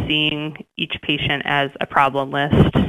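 In an American accent, a woman speaks. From West Texas. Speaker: family physician. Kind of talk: radio interview.

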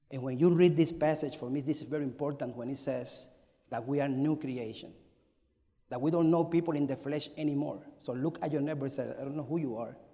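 With a Spanish accent, a man talks at a fairly quick pace in a dark, mellow tone, his pitch fairly high, and audible room echo around him. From Cuba. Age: 40s. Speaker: pastor. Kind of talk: sermon. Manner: animated.

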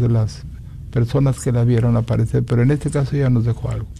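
A man's somewhat breathy, dark, mellow voice at a fairly quick pace with ordinary pitch variation. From Mexico, Guanajuato. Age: old. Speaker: maker of religious images. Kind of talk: radio interview.

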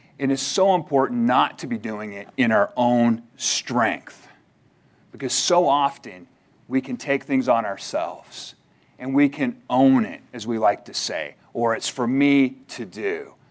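An ordinary speaking voice from a man at medium pitch, ordinary pitch variation, big swings in loudness, fairly slow pace. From Canada. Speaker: seminary admissions staff and minister. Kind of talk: chapel sermon. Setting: chapel service with audience.

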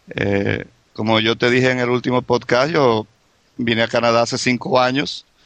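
In a plain, everyday voice, a man speaks at a moderate pace and medium pitch, with very even loudness and fairly even intonation. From Venezuela. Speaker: immigrant guest. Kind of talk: casual chat.

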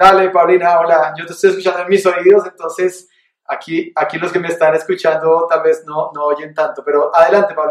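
A man's high-pitched, flat, monotone delivery at a fairly quick pace. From Colombia, Bogotá. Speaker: pastor leading a Bible study. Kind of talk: sermon; casual Q&A with participants.

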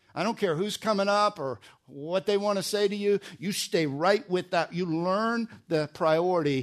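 With an American accent, a man talks at a moderate pace with lively intonation over a quiet background. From US Northeast, New Jersey. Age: 60s. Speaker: pastor. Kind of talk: sermon. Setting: church.

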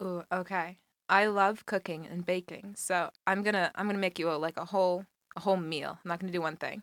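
Speaking at a very fast pace with long, frequent pauses, a woman with an American accent keeps a monotone, flat intonation at a medium pitch. The sound is dry and close with no echo, and the recording is very clean over a silent background. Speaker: college student on a blind date. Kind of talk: casual chat on a date.

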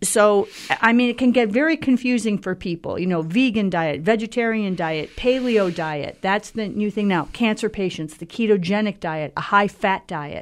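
Hardly pausing, a woman with an ordinary speaking voice talks at a moderate pace and medium pitch with lively intonation. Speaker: radio host. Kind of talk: radio interview. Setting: studio.

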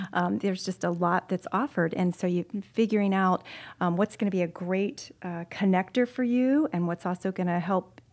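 An unremarkable speaking voice from a woman at medium pitch, fairly quick in pace, in a dry, close sound with no echo and a very clean recording with a silent background. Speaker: corporate gender consultant. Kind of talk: casual chat.

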